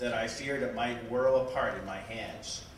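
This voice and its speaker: Moderate pace over light background noise, with audible room echo. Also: man. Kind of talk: public reading from a book. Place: shop.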